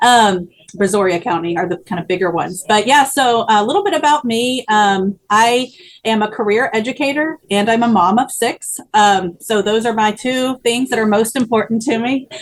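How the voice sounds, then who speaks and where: An ordinary speaking voice from a woman, fairly high in pitch, with ordinary pitch variation at a moderate pace. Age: 30s. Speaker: teacher and political candidate. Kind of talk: interview.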